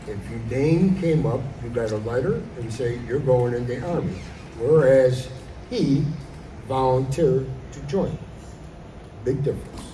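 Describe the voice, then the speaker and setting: A man talks with long, frequent pauses amid noticeable background noise and audible room echo. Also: medium pitch for a man, ordinary pitch variation, fairly slow pace. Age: 70s. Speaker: Army veteran. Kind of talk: school assembly Q&A. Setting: school assembly with students.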